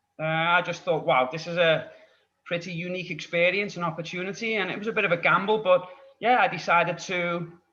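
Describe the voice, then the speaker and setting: A man's high voice with a Scouse accent, fairly even intonation and a very fast pace. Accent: Scouse (Liverpool) English. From Liverpool, England. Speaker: English tutor. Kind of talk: podcast interview.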